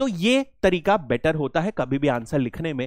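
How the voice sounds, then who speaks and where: The speech is fairly slow, with a dry sound with no echo and a quiet background. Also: man. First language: English-dominant, less fluent in Hindi (speaking Hindi). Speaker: exam coaching teacher. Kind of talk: lecture. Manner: hesitant, with fillers. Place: classroom. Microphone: headset.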